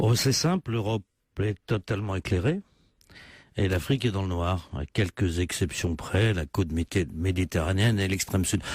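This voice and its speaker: Captured very cleanly over a silent background, dry and close with no echo, a man with a very deep, low pitch sounds somewhat breathy and speaks at a moderate pace with ordinary pitch variation. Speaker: politician. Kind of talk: radio interview answer. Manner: persuasive, salesman-like.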